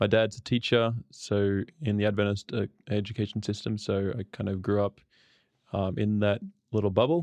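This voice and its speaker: A man with an Australian accent, fairly low in pitch and fairly even in intonation, over a quiet background with a dry, close sound and no echo. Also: moderate pace. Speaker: podcast guest, podcast host. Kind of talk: casual interview chat.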